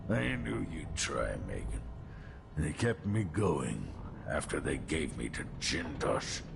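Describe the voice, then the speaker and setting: Putting on a character voice, a man talks fairly slowly while loud background noise fills the recording. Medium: video game.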